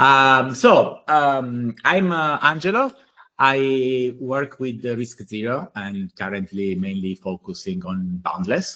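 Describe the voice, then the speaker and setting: Speaking at a very slow pace, a man with a medium pitch and a bright, sharp tone makes very wide pitch swings. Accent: Italian. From Italy. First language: Italian. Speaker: blockchain engineer. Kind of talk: technical workshop presentation. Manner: halting, many fillers.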